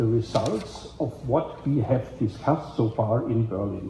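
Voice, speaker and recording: The speaker has a German accent. He is a man. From Germany. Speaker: event organizer and moderator of a policy side event. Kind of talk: opening speech at a panel event.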